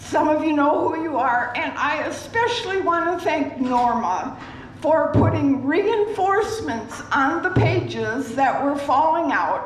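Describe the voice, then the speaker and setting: Amid audible room echo and noticeable background noise, a woman with a high pitch speaks fairly slowly, her pitch swinging very widely. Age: 80s+. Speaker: resident leading a sing-along. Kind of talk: announcement to audience.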